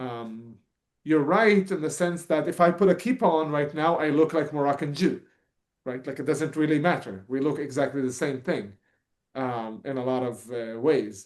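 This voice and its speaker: A fairly high-pitched man with an Arabic accent, lively intonation and a moderate pace. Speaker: political activist and podcast co-host. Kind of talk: talk answering audience questions. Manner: halting, many fillers.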